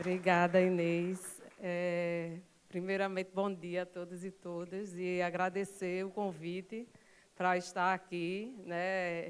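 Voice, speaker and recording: A woman with a Pernambuco accent talks at a very slow pace in a medium pitch. Her intonation is flat and monotone, with noticeable background noise behind her. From Recife, Pernambuco, Brazil. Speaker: public IT company manager, panel speaker. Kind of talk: conference talk. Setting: stage with audience.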